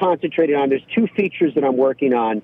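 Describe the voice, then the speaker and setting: Here is a man with an ordinary speaking voice. His pitch is medium and its variation is ordinary. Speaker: golf broadcaster. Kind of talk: casual interview. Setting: phone call from parked car.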